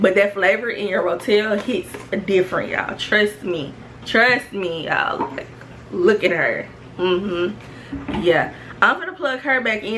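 Music plays in the background. A woman talks with ordinary pitch variation. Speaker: home cook vlogger. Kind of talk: casual cooking tutorial chat. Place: kitchen. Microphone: phone near.

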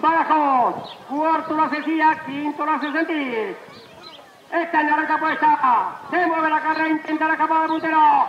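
With light background noise and audible room echo, a man speaks in an extremely high voice with fairly even intonation. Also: moderate pace. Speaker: horse race caller. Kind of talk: live horse race commentary. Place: stadium.

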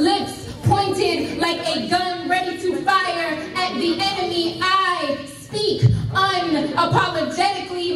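A woman talks with audible room echo and a bit of background noise. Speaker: spoken word poet. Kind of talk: spoken word poetry performance at a fundraiser event. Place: hall. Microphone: camera far.

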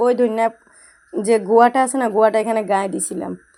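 A woman speaks in a fairly high voice with fairly even intonation. The recording is very clean, with a silent background. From Bangladesh, Noakhali. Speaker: home cooking vlogger. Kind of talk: cooking tutorial. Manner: casual, chatty.

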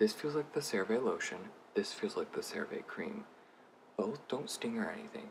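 A man whispering at a moderate pace over light background noise. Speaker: beauty vlogger. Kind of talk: casual product review to camera. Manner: whispered. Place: home room. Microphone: phone near.

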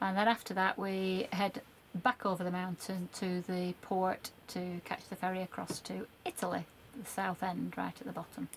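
Over light background noise, a woman speaks at a moderate pace with fairly even intonation. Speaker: travel vlogger. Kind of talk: casual vlog chat. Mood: cheerful, relaxed. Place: car. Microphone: phone near.

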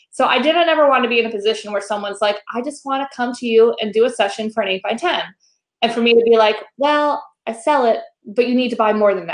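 Against a quiet background, a woman talks at a very fast pace with an animated tone. Her pitch sits fairly high. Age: 40s. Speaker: photography educator and podcast host; photography educator, podcast host. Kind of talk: casual interview. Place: home room. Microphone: video call.

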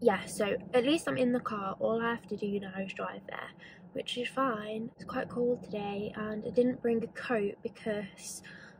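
Against noticeable background noise, a woman speaks at a fairly slow pace with big swings in loudness and a dry sound with no echo. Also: ordinary pitch variation. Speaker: vlogger. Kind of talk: casual vlog chat. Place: car. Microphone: phone near.

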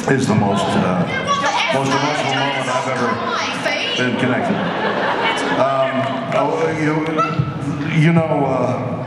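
Over loud background noise and audible room echo, a man speaks at a fairly slow pace with long, frequent pauses. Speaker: guest. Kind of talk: emotional remarks to an audience. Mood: moved, halting, emotional. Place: hall.

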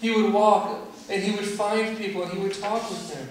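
Strong room echo and light background noise surround a man speaking at a high pitch and a moderate pace. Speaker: pastor. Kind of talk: sermon. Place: church. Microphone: camera far.

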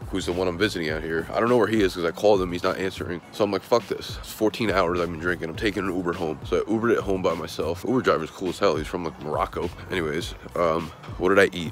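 A man with a very deep, low pitch at a very fast pace, in a dry sound with no echo and light background noise. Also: ordinary pitch variation. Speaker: vlogger. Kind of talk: casual vlog chat. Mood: hungover, rueful, chatty. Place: street. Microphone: phone near.

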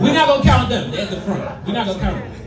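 Against noticeable background noise, a man talks at a very fast pace with a high pitch and very wide pitch swings. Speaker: stand-up comedian. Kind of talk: stand-up comedy set, crude raunchy jokes to a live club crowd. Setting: stage with audience. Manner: animated, casual, conversational; crowd-working, joking, self-deprecating, with laughs and pauses. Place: bar. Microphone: camera far.

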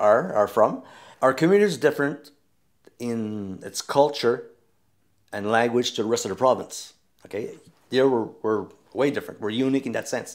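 A man with a Newfoundland French accent, at a moderate pace with long, frequent pauses, ordinary pitch variation, and a quiet background. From Newfoundland, Canada. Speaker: storyteller, singer, retired teacher. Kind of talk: interview answer. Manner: casual, hesitant. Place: home room.

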